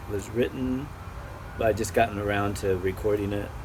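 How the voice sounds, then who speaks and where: An American-accented man with a fairly low voice speaks at a moderate pace. Noticeable background noise and audible room echo surround him. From US Midwest. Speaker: musician. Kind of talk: casual interview.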